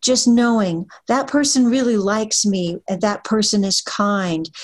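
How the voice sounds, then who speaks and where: Her voice is somewhat breathy with a fairly high pitch. The woman speaks at a fairly slow pace. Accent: American. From Pennsylvania, near Hershey. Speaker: author and literary agent. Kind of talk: interview.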